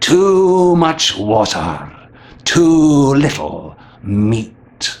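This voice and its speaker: A put-on character voice from a man, very slow in pace and fairly high in pitch. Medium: read story. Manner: terse, repetitive answers.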